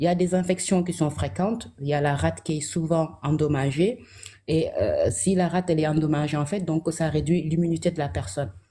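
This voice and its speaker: A woman speaks at a fairly quick pace in a very deep, low pitch, her dark, mellow tone carrying vocal fry and ordinary pitch variation. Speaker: health guest. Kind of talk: educational talk.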